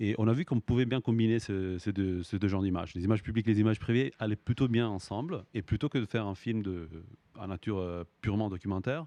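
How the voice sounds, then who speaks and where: Recorded with a dry, close sound and no echo, a man with a fairly low voice and a dark, mellow tone speaks at a very fast pace. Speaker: film director and screenwriter. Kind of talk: interview. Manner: halting, many repetitions and fillers.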